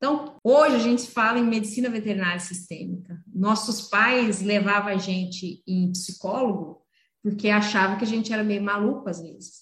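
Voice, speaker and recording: The voice is somewhat breathy. It moves at a moderate pace with ordinary pitch variation. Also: woman. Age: 40s. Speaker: veterinarian. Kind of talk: interview. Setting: video call.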